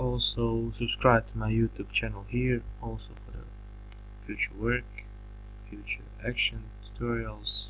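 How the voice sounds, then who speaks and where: A man with a non-native accent, very deep and low in pitch, fairly slow, monotone and flat, with long, frequent pauses. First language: not English. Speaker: graphic designer making a software tutorial. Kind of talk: tutorial. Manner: halting, many fillers and restarts.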